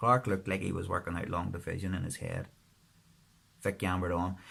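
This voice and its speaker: Someone speaks with a Northern Irish accent. The pace is moderate. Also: man. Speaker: author. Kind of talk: audiobook-style fiction reading.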